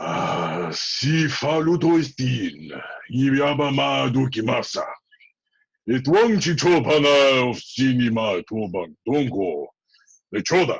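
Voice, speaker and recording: A man puts on a character voice, guttural and at medium pitch. He goes at a fairly slow pace. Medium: stage play. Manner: speaks in guttural alien gibberish.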